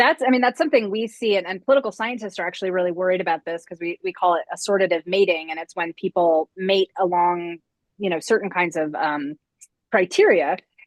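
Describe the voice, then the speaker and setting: A woman with an American accent, medium pitch, very fast pace and ordinary pitch variation, in a dry, close sound with no echo. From upstate New York. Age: 40s. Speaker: political science professor. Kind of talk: interview conversation.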